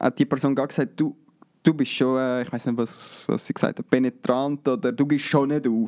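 The tone is dark and mellow, delivered at a moderate pace. The sound is dry and close, with no echo. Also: man. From Switzerland, canton of Zurich. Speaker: videographer and photographer. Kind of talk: interview.

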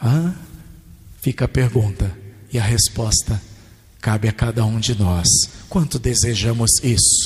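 A man with a medium-pitched, somewhat breathy voice talks at a fairly slow pace. He leaves long, frequent pauses. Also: ordinary pitch variation, very even loudness. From Brazil, Rio Grande do Sul. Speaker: pastor. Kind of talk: sermon.

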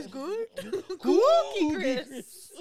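This put-on character voice sits at a high pitch and makes very wide pitch swings. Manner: playful, silly.

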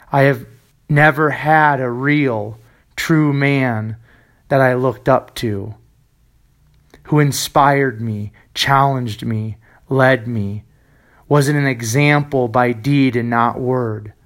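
A man speaks at a very slow pace and a medium pitch, with long, frequent pauses and fairly even intonation. The recording is very clean, with a silent background. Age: 30s. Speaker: fitness podcaster. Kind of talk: scripted monologue. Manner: emphatic.

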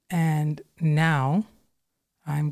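On a very clean recording with a silent background, a woman speaks with a very deep, low pitch. Her tone is calm, dark and mellow. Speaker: registered nurse and author. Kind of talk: casual interview chat. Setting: studio with headset.

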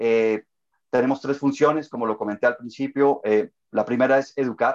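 At a moderate pace, a man with a medium pitch talks in fairly even intonation, the sound dry and close with no echo. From Colombia. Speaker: webinar moderator, association board member. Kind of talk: webinar panel moderation. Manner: hesitant, many fillers.

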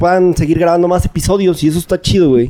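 A man with a high pitch and a dark, mellow tone speaks in a Mexican accent with ordinary pitch variation. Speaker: podcast guest. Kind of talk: casual chat.

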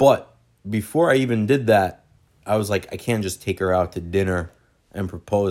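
With an ordinary speaking voice, a man speaks at a moderate pace and fairly low pitch in a very clean recording with a silent background. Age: 20s. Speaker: host's fiancé. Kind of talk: casual chat.

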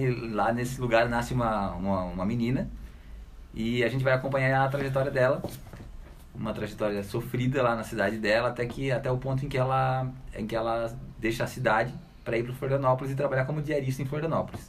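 A man speaks at a very fast pace in a medium pitch. His intonation stays fairly even, and room echo is audible. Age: young. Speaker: book editor and writer. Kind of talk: casual radio interview. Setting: radio studio.

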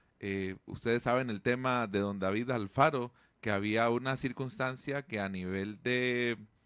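Here is a man with a plain, everyday voice at medium pitch. He talks at a fairly slow pace in a very clean recording with a silent background. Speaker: radio host. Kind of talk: radio interview.

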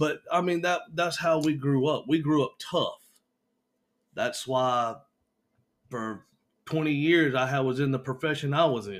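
In a Southern US accent, a man with a fairly high pitch and ordinary pitch variation talks at a fairly slow pace with long, frequent pauses. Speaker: podcast host's husband. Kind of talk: casual chat. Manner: radio-host style delivery.

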